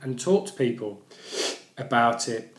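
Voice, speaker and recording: A man is talking. The room echo is audible. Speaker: vlogger who stammers. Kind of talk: personal vlog. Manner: stammering, with repetitions.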